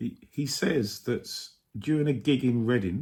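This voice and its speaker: A man's very slow, somewhat breathy voice at a medium pitch. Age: 60s. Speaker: vlogger. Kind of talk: casual monologue. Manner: hesitant, many fillers.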